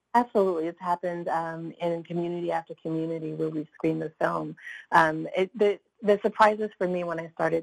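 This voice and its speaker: Speaking at a fairly quick pace, a woman with an ordinary speaking voice has a fairly low pitch and fairly even intonation, heard in a dry, close sound with no echo. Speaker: documentary film director. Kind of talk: interview.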